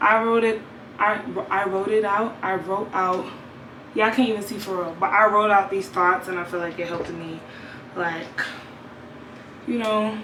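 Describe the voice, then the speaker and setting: A woman at a medium pitch speaks at a moderate pace in an animated tone, with long, frequent pauses. Audible room echo and noticeable background noise fill the recording. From New York, Brooklyn. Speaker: vlogger and gospel singer. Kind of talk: casual vlog monologue. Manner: rambling, stuttering.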